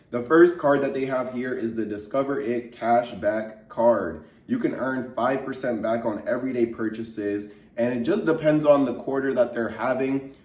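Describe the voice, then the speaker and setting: A man's medium-pitched voice at a moderate pace with ordinary pitch variation, amid noticeable background noise and audible room echo. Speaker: personal finance YouTuber. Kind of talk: tutorial. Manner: casual.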